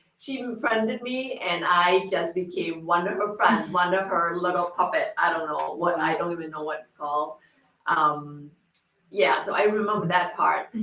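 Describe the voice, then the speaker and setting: A woman speaks at a moderate pace in a fairly low pitch, with lively intonation and big swings in loudness. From Laos, raised in Illinois, US Midwest. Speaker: refugee interviewee. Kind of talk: life story interview. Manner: halting.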